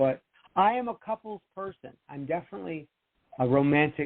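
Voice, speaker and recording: An American-accented man with a fairly high pitch, very wide pitch swings and a fairly quick pace. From Rochester, New York, US. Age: 60s. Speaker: author and TV producer. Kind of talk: interview chat.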